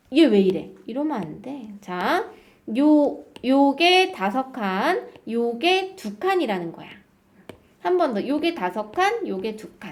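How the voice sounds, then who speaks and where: High-pitched woman with very wide pitch swings, big swings in loudness and a very slow pace, in audible room echo. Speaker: math teacher. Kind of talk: lecture. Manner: animated.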